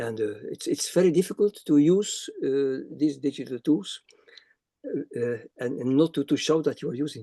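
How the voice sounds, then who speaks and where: A man's fairly high-pitched voice with a dark, mellow tone and ordinary pitch variation, in a dry, close sound with no echo. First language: not English. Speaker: academic reviewer speaker. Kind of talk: webinar Q&A answer. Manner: halting, many repetitions.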